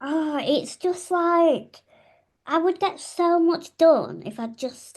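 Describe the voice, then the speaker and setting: A woman with a Yorkshire accent speaks at a very slow pace. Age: 30s. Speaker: podcast co-host. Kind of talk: casual chat. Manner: animated.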